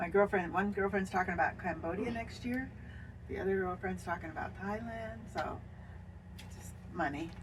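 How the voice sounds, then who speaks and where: Long, frequent pauses break up a woman's speech at a moderate pace. Her intonation is lively, and her voice carries vocal fry. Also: medium pitch for a woman. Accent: Pacific Northwest. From Washington State. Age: 70s. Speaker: RV traveler. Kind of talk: casual chat.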